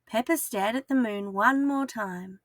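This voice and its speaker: With an Australian accent, a woman speaks at a fairly high pitch and a fairly slow pace, in a dry, close sound with no echo and music in the background. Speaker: kindergarten teacher. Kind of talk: children's story read-aloud.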